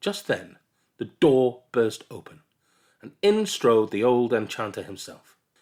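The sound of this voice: This is an unforced reading voice. The background stays quiet.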